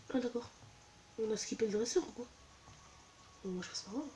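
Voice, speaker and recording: A soft-spoken woman talks at a moderate pace in a fairly high voice with ordinary pitch variation. There is noticeable background noise. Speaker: gaming youtuber. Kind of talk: let's play commentary.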